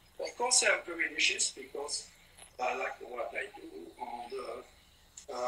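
A man with a French accent, light background noise and audible room echo. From France. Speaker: painter. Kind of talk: casual chat. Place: workshop. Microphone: phone near.

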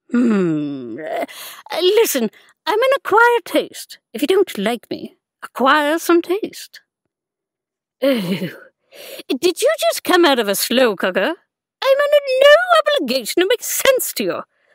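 A woman's cartoonish character voice at an extremely high pitch, fairly slow in pace, with a dry, close sound and no echo. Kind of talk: animation audition. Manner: angry, insulting.

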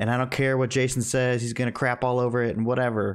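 In a quiet background, a man speaks at medium pitch with a monotone, flat intonation. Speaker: movie podcast co-host; podcast co-host. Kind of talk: casual chat. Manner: sarcastic-sounding. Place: home room.

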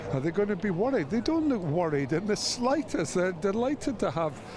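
Over noticeable background noise, a man with a Scottish accent talks with very wide pitch swings. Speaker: former rugby player. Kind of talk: interview. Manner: hesitant, many fillers.

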